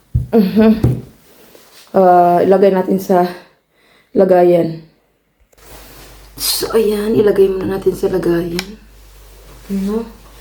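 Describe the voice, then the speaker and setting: With long, frequent pauses, a woman speaks at a very slow pace in a medium pitch and fairly even intonation, and the room echo is audible. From Philippines. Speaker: vlogger. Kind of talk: casual vlog.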